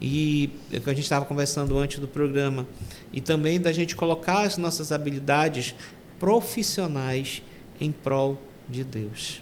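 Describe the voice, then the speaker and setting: Through noticeable background noise comes a man's fairly high voice with ordinary pitch variation. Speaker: deacon. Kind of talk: testimony. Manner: halting.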